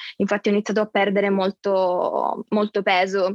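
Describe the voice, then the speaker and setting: With a medium pitch, a woman speaks in a monotone, flat way. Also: dry, close sound with no echo. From Sicily, Catania. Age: 20s. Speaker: university student with a rare disease. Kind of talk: personal testimony in interview.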